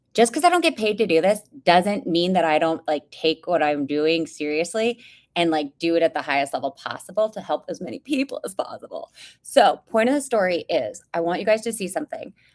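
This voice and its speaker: A loud woman's voice at medium pitch, with very wide pitch swings and a fairly quick pace, in a dry, close sound with no echo. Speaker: podcast host and whistleblower. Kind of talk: casual live-stream update. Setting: live stream video.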